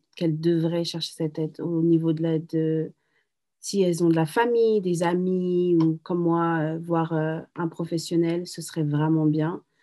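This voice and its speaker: A woman speaks at a fairly slow pace with a dark, mellow tone and fairly low pitch against a quiet background. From France, Paris. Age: 30s. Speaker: single mother, entrepreneur. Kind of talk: testimony.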